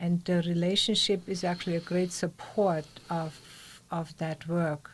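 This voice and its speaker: Speaking at a fairly slow pace, a woman has a fairly low, somewhat breathy voice with monotone, flat intonation. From Austria. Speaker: meditation teacher. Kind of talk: interview conversation.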